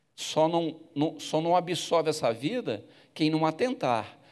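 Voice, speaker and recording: A man speaks at a very slow pace with vocal fry. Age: 70s. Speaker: bishop preaching. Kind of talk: sermon. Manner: halting.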